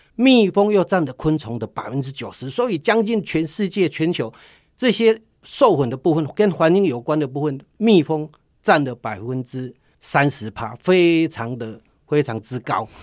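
A man's fairly high voice makes very wide pitch swings on a very clean recording with a silent background. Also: fairly slow pace. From Taiwan, Tainan. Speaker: social enterprise CEO, honey business owner. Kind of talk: radio interview.

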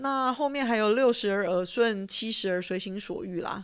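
On a very clean recording with a silent background, a woman talks at medium pitch and a moderate pace in an unremarkable speaking voice. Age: 40s. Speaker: podcast host, retired finance professional. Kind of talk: solo monologue podcast. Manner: casual, chatty.

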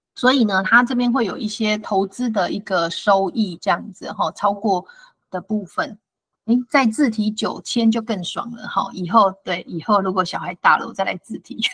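Delivered at a moderate pace, the speech carries a Taiwanese accent and ordinary pitch variation. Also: woman, fairly high pitch for a woman. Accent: Taiwanese Mandarin. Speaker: financial advisor. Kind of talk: lecture. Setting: online talk.

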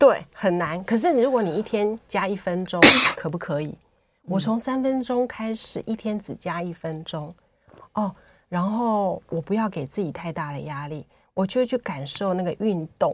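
A woman with an unremarkable speaking voice talks at a medium pitch and a moderate pace, with lively intonation. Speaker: writer and former nurse. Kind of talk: interview. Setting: studio.

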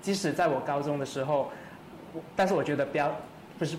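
The man's fairly high pitch moves with ordinary variation, backed by audible room echo and noticeable background noise. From Malaysia, Kuala Lumpur. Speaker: singer-songwriter. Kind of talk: casual chat.

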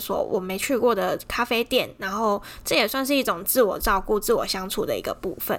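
A plain, everyday voice from a woman, fairly high in pitch, at a fairly quick pace with ordinary pitch variation. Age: 30s. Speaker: podcast host. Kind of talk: casual monologue.

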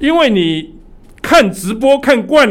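Audible room echo surrounds a man whose intonation is lively. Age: 70s. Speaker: church elder preaching. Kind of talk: sermon.

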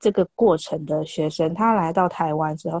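In a quiet background, a woman's voice comes across dry and close with no echo, with ordinary pitch variation. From Taiwan. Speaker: Chinese language teacher. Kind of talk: casual chat. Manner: halting.

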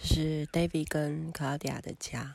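A woman with a very deep, low pitch speaks at a fairly slow pace. The recording is very clean, with a silent background. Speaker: travel podcaster. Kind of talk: personal travel narration. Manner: halting with many fillers.

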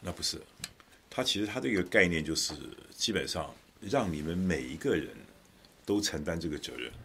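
The speaker uses lively intonation at a moderate pace, with long, frequent pauses. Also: man, very deep, low pitch for a man. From Taiwan (Taichung). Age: 60s. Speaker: political commentator. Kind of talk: casual chat.

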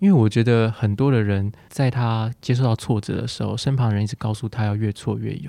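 A man speaks at a fairly quick pace with hardly any pauses, his pitch medium, against a quiet background. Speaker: psychologist. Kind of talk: casual chat interview. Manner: warm, soothing.

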